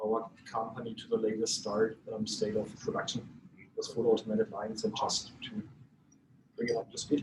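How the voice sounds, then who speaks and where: Speaking with a German accent, this man keeps a moderate pace. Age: 40s. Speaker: company executive and visiting Lions member. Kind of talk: self-introduction at club meeting. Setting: lunch meeting. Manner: halting, many fillers.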